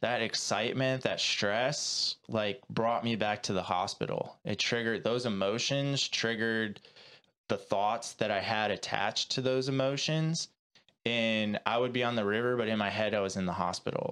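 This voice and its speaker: On a very clean recording with a silent background, a man of medium pitch speaks at a moderate pace with a bright, sharp tone and very even loudness. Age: 30s. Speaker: breathwork coach and former kayaker. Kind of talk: casual interview conversation. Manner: casual, filler-heavy speech.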